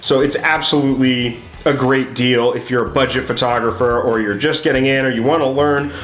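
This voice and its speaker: Upbeat in tone and fairly quick in pace, the speaker is heard over noticeable background noise, with audible room echo. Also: man. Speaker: photography YouTuber. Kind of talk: casual camera review. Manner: casual, upbeat.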